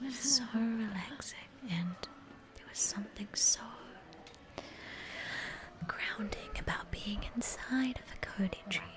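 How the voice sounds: A woman is whispering. Her pace is fairly slow.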